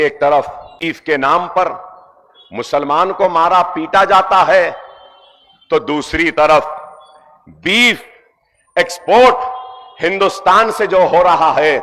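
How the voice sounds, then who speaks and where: A man speaks with a high pitch. The pitch varies in an ordinary way. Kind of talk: political rally speech. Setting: public rally, addressing a crowd. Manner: forceful, emphatic.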